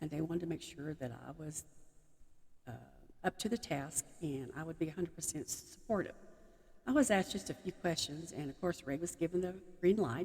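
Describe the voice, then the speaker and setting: Fairly quick but with long, frequent pauses, a woman speaks in a Texan accent, fairly low in pitch with ordinary pitch variation. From Texas. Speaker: army chaplain's wife. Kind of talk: personal talk to audience.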